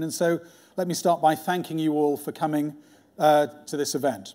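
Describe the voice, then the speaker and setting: Against a quiet background, a man speaks with fairly even intonation in a high voice that has a dark, mellow tone. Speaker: sponsor host introducing the lecture. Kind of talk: formal welcome speech. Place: hall.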